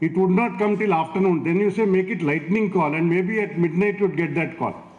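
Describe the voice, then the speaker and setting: Against noticeable background noise, a man with a high voice speaks at a fairly quick pace with fairly even intonation and very even loudness. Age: 60s. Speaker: chief guest speaker. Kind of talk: speech at school event.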